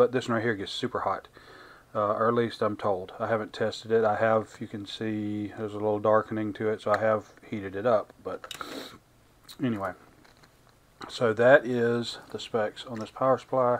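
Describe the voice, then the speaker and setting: Flat, monotone intonation from a man at a moderate speed. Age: 50s. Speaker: YouTube product reviewer. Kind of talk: product review tutorial. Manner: halting, many filler words; casual, unscripted. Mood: casual, mildly annoyed. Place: workshop.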